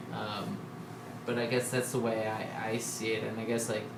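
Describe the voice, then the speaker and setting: A man speaks at a moderate pace in a room with audible echo. Noticeable background noise is present too. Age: 20s. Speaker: touring cyclist. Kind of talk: casual chat. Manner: halting.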